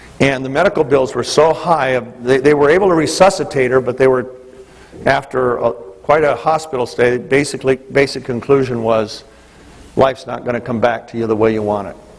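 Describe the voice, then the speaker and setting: Noticeable background noise comes through the recording. A man speaks fairly quickly over it. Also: medium pitch for a man, ordinary pitch variation. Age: 60s. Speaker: business leader giving leadership training. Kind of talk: motivational talk. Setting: stage with audience.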